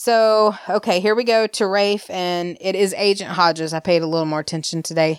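A woman's medium-pitched voice in an Alabama accent at a moderate pace, with ordinary pitch variation, on a very clean recording with a silent background. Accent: Southern US (Alabama). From US South, Alabama. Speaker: podcast co-host. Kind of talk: casual chat, soap opera recap.

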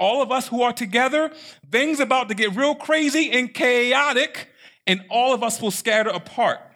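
Bright and sharp, a man's raised, projected voice sits at an extremely high pitch, animated in tone and very even in loudness. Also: ordinary pitch variation, moderate pace. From Baltimore, Maryland. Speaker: pastor. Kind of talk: sermon.

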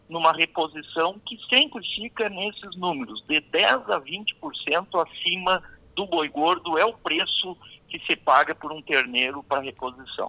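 A man talks with a high pitch and lively intonation. The sound is dry and close with no echo, though noticeable background noise is present. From southern Brazil, Rio Grande do Sul. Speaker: veterinarian and livestock auctioneer. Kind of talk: radio interview. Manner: halting.

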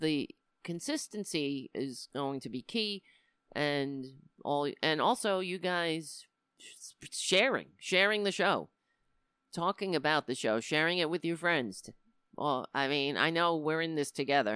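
A woman with a New York accent speaks in a very deep, low pitch with a bright, sharp tone and lively intonation, recorded very cleanly against a silent background with a dry, close sound and no echo. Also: fairly slow pace. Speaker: comedian and political show host. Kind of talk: live-streamed political commentary show. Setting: live stream. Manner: animated.

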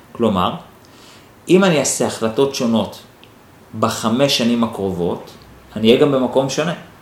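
Amid noticeable background noise and audible room echo, a man at a medium pitch speaks at a moderate pace with lively intonation and long, frequent pauses. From Israel, Holon. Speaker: NLP teacher and podcast host. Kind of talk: solo podcast monologue answering listener questions. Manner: thinking aloud, with hesitations.

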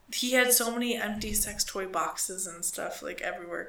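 A woman talks at a moderate speed with fairly even intonation while noticeable background noise carries on. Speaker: podcast co-host. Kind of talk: casual chat, crude humor. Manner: joking, profane.

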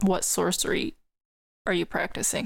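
A woman's medium-pitched voice at a fairly slow pace, in a very clean recording with a silent background. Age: 20s. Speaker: podcast host, storyteller. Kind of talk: storytelling podcast monologue.

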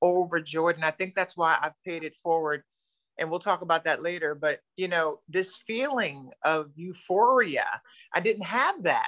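With an American accent, a woman talks at a moderate pace in a fairly low pitch with ordinary pitch variation, an unremarkable speaking voice, and a dry, close sound with no echo. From New Jersey. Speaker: keto dieter sharing weight loss story. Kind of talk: testimony.

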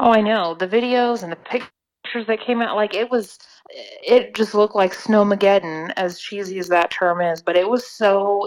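A woman speaks with an American accent at a moderate pace, her pitch medium. She has an unremarkable speaking voice and fairly even intonation. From Oklahoma. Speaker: weather podcast co-host, meteorology student. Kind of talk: casual chat.

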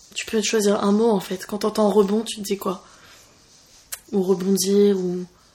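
Over noticeable background noise, the speaker moves at a fairly slow pace with long, frequent pauses and monotone, flat intonation. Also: woman, medium pitch for a woman. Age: 20s. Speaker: podcast host. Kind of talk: casual chat. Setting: recording over coffee.

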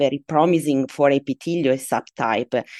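A woman with an Italian accent speaks at a moderate pace in a very deep, low voice, her intonation flat and monotone, the sound dry and close with no echo. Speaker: medical oncologist. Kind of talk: expert interview.

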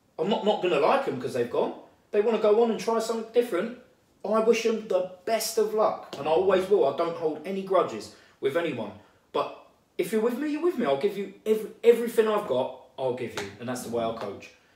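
A man at a high pitch with very wide pitch swings, at a very fast pace, amid audible room echo. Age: 30s. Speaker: boxing coach. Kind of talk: casual chat.

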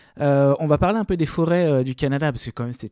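On a very clean recording with a silent background and a dry, close sound with no echo, a man speaks at a fairly high pitch in a dark, mellow tone with ordinary pitch variation. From France. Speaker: podcast co-host. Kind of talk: interview.

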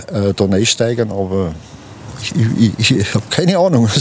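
Amid noticeable background noise, a man talks at medium pitch and a moderate pace. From Ingolstadt, Bavaria. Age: 70s. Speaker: retired transport business owner and local historian. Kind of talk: interview. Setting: outdoors.

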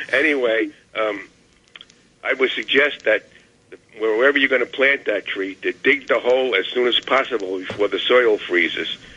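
A man speaks in a New York accent at a moderate pace. He leaves long, frequent pauses. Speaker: caller. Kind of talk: call-in radio. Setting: phone call.

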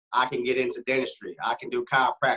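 A man talks at a fairly quick pace with an American accent. His intonation stays fairly even. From Arkansas, US South. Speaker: optometrist. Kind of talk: casual chat.

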